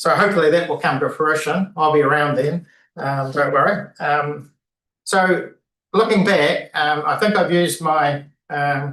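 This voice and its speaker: In a New Zealand accent, a man speaks at a fairly slow pace with a fairly high pitch, a bright, sharp tone, and ordinary pitch variation. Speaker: retiring city councillor. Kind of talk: valedictory speech at council meeting. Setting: council chamber meeting. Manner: halting, many fillers.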